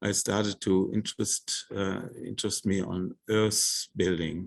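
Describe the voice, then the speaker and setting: A man speaks very slowly with a non-native accent. The sound is dry and close, with no echo. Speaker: architect. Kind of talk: lecture. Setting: lecture hall with audience. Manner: halting.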